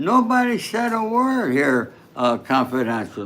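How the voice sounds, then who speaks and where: High pitch from a man, with very wide pitch swings and audible room echo. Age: 80s+. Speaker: true crime commentator. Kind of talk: livestream commentary.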